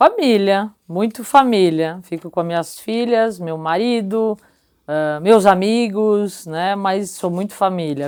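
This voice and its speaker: A woman speaks at a very slow pace. Her tone is dark and mellow. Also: very clean recording, silent background. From southern Brazil, Caxias do Sul (Rio Grande do Sul). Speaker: company executive. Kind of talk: interview conversation.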